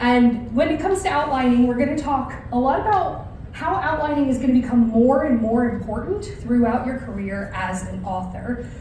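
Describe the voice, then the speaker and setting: With an American accent, a woman speaks at a high pitch with hardly any pauses, amid noticeable background noise and audible room echo. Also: lively intonation. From United States. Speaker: novelist. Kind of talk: lecture. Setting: stage with audience. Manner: fast.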